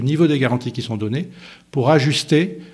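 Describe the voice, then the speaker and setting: A man's speech shows ordinary pitch variation, with noticeable background noise around it. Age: 60s. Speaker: insurance investment director. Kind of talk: interview.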